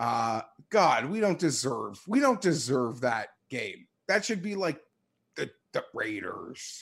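In a very clean recording with a silent background, a man with a fairly high, fry-edged voice speaks at a very slow pace with very wide pitch swings. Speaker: football podcast co-host. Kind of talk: casual chat. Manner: gets louder when excited.

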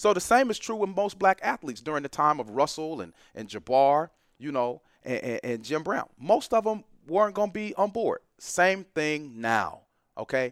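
With an animated tone and very wide pitch swings, a man with an American accent speaks at a moderate pace in a fairly high pitch, on a very clean recording with a silent background and a dry, close sound with no echo. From Atlanta, US South. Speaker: professor. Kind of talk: casual interview.

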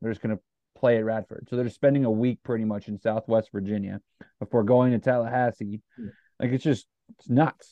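This is an ordinary speaking voice from a man with an American accent, pitched in the medium range. He talks at a fairly quick pace with fairly even intonation. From US Midwest (Northeast Ohio). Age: 20s. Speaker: sports podcast host. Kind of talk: casual chat.

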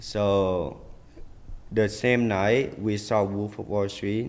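A man with an American accent talks at a very slow pace. His pitch is fairly low and his intonation fairly even. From Vietnam, raised partly in Minnesota. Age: 20s. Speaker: fashion designer. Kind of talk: casual chat. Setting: studio.

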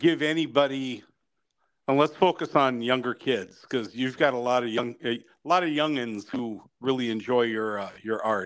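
This is an ordinary speaking voice, a man at medium pitch. He moves at a moderate pace with ordinary pitch variation. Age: 50s. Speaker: podcast host. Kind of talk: casual interview.

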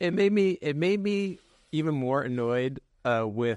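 The speaker has a West Coast accent and lively intonation. The sound is dry and close with no echo, and the background is quiet. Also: man. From San Francisco Bay Area. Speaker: podcast co-host. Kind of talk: casual chat.

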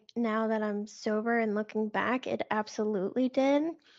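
With a plain, everyday voice, a woman talks at a fairly slow pace, her fairly high pitch following fairly even intonation. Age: 30s. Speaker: recovery podcaster and sobriety coach. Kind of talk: personal testimony in interview.

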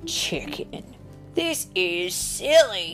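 Over faint music in the background, a woman uses a put-on character voice with a fairly low pitch, big pitch swings, a fairly bright tone, and a very slow pace.

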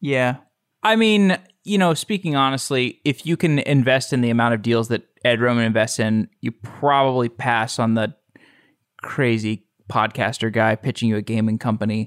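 A man with an American accent and an unremarkable speaking voice speaks at a medium pitch and moderate pace with ordinary pitch variation and very even loudness, in a dry, close sound with no echo on a very clean recording with a silent background. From Texas, Austin. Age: 30s. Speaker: podcast host. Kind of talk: casual interview.

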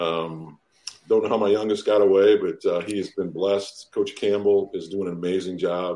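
A man speaks with an American accent in a dark, mellow tone. His intonation is monotone and flat. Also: fairly low pitch for a man, moderate pace. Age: 50s. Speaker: former football player and high school coach. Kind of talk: casual interview.

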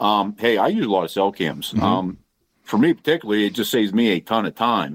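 The speech runs at a very fast pace with ordinary pitch variation. The recording is very clean and dry, close with no echo, over a silent background. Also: man. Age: 40s. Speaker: hunter. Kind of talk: casual chat. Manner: animated.

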